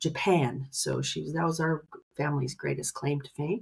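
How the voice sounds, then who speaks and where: This woman has a very deep, low pitch and ordinary pitch variation. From Canada, southwestern Ontario. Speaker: ruminant nutritionist. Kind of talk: interview podcast.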